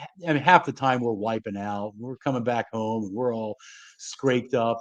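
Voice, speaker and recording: Here is a plain, everyday voice at a moderate rate. Its pitch rises and falls in a typical way. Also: man. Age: 60s. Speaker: motivational speaker on children's programs. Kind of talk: casual interview. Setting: live stream.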